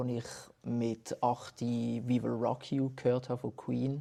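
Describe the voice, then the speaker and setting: Very slow and monotone with flat intonation, a man speaks in a Basel accent at medium pitch with a dark, mellow tone. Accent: Basel Swiss German dialect. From Basel, Switzerland. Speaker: musician. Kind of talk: casual interview.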